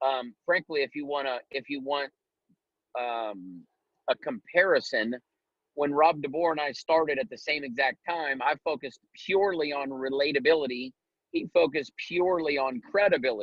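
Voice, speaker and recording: In an American accent, a man speaks at a moderate pace, his fairly high voice showing ordinary pitch variation. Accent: rural Ohio hillbilly twang. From Ohio. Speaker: network marketing leader. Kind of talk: business coaching talk on a group call. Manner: casual, animated.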